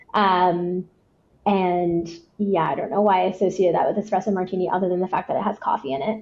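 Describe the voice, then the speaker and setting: A woman speaks very fast with fairly even intonation. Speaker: head of marketing. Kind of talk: podcast interview. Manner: high energy.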